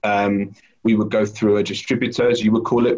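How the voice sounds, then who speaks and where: A man with a British accent at a fairly quick pace. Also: quiet background. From UK. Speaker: food company sales lead. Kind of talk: interview. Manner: halting. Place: kitchen. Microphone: video call.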